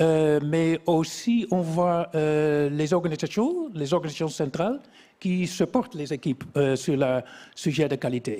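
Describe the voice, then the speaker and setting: This man has a dark, mellow tone, a fairly high pitch and a non-native accent, with ordinary pitch variation. The recording is very clean, with a silent background. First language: not French (speaking French). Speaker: quality engineering expert. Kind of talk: interview. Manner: halting, many hesitations.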